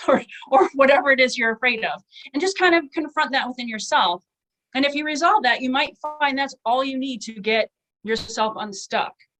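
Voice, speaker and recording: Lively intonation marks a woman's high-pitched voice, which has a bright, sharp tone. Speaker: author giving writing workshop. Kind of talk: online workshop talk. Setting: webinar. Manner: fast; casual, filler-heavy.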